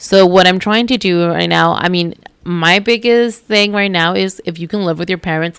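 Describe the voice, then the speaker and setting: A woman with an unremarkable speaking voice talks fairly low in pitch with fairly even intonation. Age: 20s. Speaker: fashion and beauty influencer. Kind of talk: casual interview chat. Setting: recorded on location at a retreat in Mexico.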